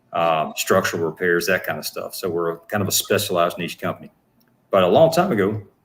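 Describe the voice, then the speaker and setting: A man speaks with a Southern US accent. His very deep, low voice moves at a moderate pace. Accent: Southern twang. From US South, Atlanta Georgia. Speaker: actor and business owner. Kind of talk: interview. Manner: halting.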